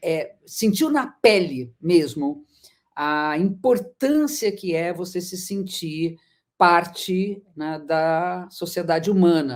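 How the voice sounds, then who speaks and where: A woman's fairly low voice with lively intonation at a very slow pace, in a very clean recording with a silent background. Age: 60s. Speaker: astrologer. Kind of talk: lecture.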